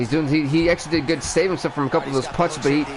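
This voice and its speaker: Against noticeable background noise, a man with a fairly high pitch talks with ordinary pitch variation. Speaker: gaming streamer. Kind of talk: live game commentary. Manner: fast; animated.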